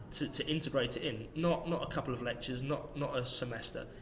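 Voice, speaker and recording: Using an ordinary speaking voice, a man talks at a moderate pace and medium pitch with fairly even intonation. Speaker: strength and conditioning coach. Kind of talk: podcast interview answer.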